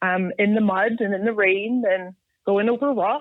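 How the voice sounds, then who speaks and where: With a Scottish accent, a woman talks at a fairly slow pace. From Scotland. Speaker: off-road enthusiast. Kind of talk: casual chat.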